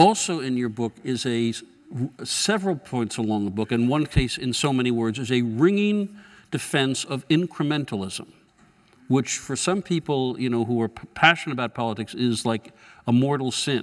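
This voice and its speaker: An ordinary speaking voice from a man, medium-pitched with lively intonation, at a moderate pace. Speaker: journalist moderator. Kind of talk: on-stage interview. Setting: stage with audience.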